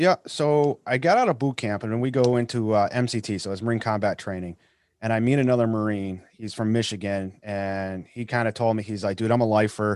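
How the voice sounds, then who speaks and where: A man with an American accent talks at a fairly quick pace. His pitch is medium, with ordinary variation. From Massachusetts. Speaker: war veteran and podcast host. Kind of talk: casual interview.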